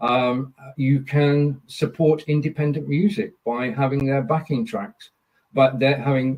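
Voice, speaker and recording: A man speaks with a Lancashire accent and a fairly high pitch. His voice is somewhat breathy. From northern England, Burnley, Lancashire. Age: 70s. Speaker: live streamer. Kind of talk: podcast interview.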